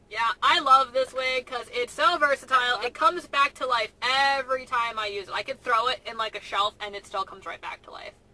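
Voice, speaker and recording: A woman talks fairly quickly in a high, raised, projected voice, with hardly any pauses. Her loudness swings widely while her pitch varies in an ordinary way. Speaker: cosplayer and vlogger. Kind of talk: casual chat. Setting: in a car.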